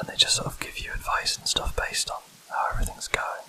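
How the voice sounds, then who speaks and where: A whisper against noticeable background noise. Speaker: ASMR gaming channel host. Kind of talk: whispered let's play commentary. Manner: whispering; hesitant, filler-heavy. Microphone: mic too close to laptop, noise removal applied.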